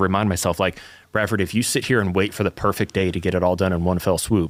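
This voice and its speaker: A man speaks with a slight Southern US accent. His pace is very fast. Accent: slight Southern twang. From US South. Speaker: church podcast co-host. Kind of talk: casual chat.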